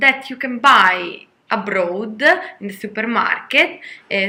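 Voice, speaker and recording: A woman with an Italian accent speaks at a fairly slow pace in a fairly high pitch. Her tone is bright and sharp, and her intonation is lively. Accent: Italian, non-native English. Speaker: vlogger. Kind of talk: casual vlog talk. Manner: halting, many fillers.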